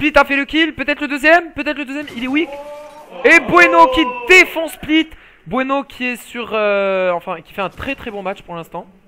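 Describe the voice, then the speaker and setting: An animated man speaks at extremely high pitch in a raised, projected voice, with very wide pitch swings and big swings in loudness. His pace is moderate, and there is noticeable background noise. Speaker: esports commentator. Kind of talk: live commentary.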